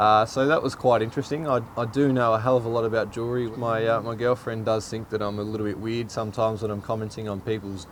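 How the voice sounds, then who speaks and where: Over noticeable background noise, a man with an Australian accent speaks very fast at medium pitch with fairly even intonation. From Australia, Shepparton in country Victoria. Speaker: professional cricketer. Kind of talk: casual interview answers. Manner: hesitant, many fillers and repeats.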